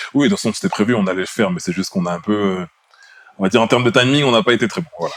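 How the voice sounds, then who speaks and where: Speaking at a very fast pace, a man uses very wide pitch swings. His pitch sits at a medium level. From France, Bordeaux. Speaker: podcast co-host, IT engineer. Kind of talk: casual chat.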